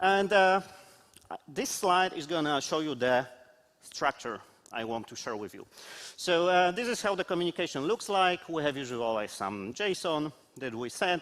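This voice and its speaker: Loud and high in pitch, a man speaks at a moderate pace with very wide pitch swings and long, frequent pauses. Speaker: QA consultant, conference speaker. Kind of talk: conference talk. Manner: halting.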